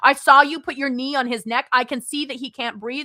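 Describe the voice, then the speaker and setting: A woman's high-pitched, bright and sharp voice comes across raised and projected with an animated tone, recorded dry and close with no echo. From United States. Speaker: political livestreamer. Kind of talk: live stream chat reading viewer comments. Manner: fast.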